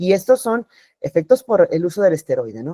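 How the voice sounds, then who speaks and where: A woman's dark, mellow voice, dry and close with no echo. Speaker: dermatologist. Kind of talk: lecture. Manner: fast.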